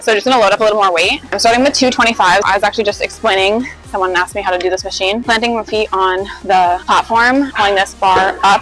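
A woman speaking at a very fast pace with hardly any pauses and ordinary pitch variation, dry sound with no echo and faint background music. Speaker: fitness vlogger. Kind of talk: casual workout tutorial vlog. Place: gym. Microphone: lapel.

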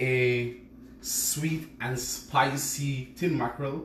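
A man talks with ordinary pitch variation over light background noise and audible room echo. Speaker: home cook host. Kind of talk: live cooking stream chat. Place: kitchen. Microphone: phone near.

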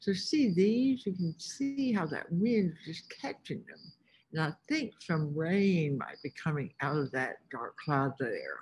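At a fairly slow pace, a woman speaks in a somewhat breathy voice with very wide pitch swings. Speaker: teacher or field trip guide. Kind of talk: lesson narration for young children. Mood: warm, enthusiastic. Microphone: webcam.

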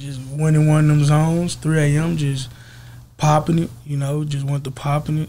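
Speaking at a moderate pace in an American accent, a man has a dark, mellow tone, a fairly high pitch, a somewhat breathy sound and monotone, flat intonation. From Texas, East Dallas; Texas. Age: 20s. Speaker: rapper; interview guest. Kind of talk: casual interview. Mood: relaxed, easygoing. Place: studio. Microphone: studio mic.

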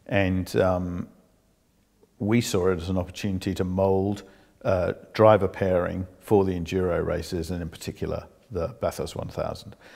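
Against a quiet background, a man with a very deep, low pitch speaks at a moderate pace in a monotone, flat intonation. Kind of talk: interview answer. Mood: calm, reflective. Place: home room. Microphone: lapel.

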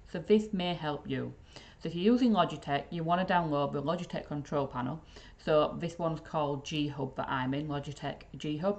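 A woman speaks with a Yorkshire accent. Her intonation is lively. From Yorkshire, England. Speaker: IT support trainer. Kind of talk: casual tech tutorial to camera. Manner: upbeat, chatty. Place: office. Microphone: webcam.

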